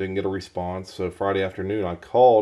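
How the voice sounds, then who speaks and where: The delivery is monotone and flat, at a moderate pace. The tone is dark and mellow against a quiet background. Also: man. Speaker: knife reviewer. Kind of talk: casual talk to camera. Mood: mildly annoyed storytelling.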